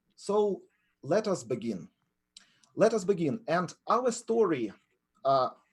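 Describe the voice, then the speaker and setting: A man speaks with a Ukrainian accent at a high pitch, with very wide pitch swings. His pace is very slow, with long, frequent pauses. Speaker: professor of entrepreneurship. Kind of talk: webinar lecture. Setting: online webinar.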